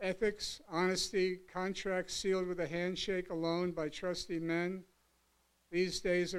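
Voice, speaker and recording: At a fairly slow pace, a man speaks in a high pitch. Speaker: poet. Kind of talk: reading aloud. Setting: stage with audience. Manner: halting.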